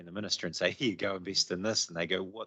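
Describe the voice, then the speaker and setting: A man with a New Zealand accent speaks at a fairly low pitch, his intonation fairly even. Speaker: transport agency official. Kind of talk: committee meeting presentation.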